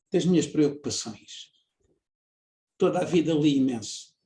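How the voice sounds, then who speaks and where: A man speaks in a fairly high voice. It sounds somewhat breathy. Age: 70s. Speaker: engineer and researcher. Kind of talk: interview. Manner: halting, many fillers.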